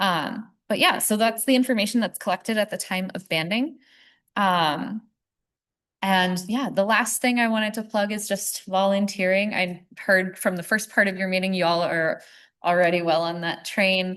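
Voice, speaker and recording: A woman with a plain, everyday voice speaks at a medium pitch and a moderate pace. Her pitch variation is ordinary, and the background is quiet. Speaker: wildlife conservation speaker. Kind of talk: presentation.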